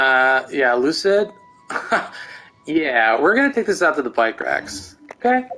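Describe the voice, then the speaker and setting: The voice is loud and moves at a fairly slow pace with long, frequent pauses. Music plays in the background. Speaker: game streamer. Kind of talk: casual live stream chat.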